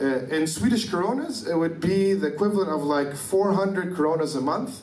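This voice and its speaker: A high-pitched man with an Arabic accent, fairly quick and lively, at very even loudness, amid audible room echo and noticeable background noise. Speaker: activist. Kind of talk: lecture. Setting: conference stage with audience. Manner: fast.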